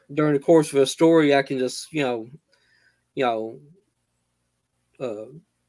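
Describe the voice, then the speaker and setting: Using fairly even intonation, a man with a Southern US accent speaks at a medium pitch in a dark, mellow tone. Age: 60s. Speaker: horror author. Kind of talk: live author interview. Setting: live video stream. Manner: halting, many fillers.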